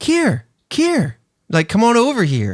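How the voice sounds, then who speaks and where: A man puts on a character voice, high in pitch and at a fairly slow pace. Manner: inviting, coaxing, eerie.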